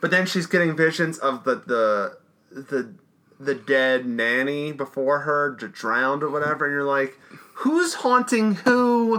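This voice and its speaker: Over noticeable background noise, a man speaks at a fairly slow pace with a fairly high pitch and very wide pitch swings. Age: 30s. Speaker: podcast co-host. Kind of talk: casual chat.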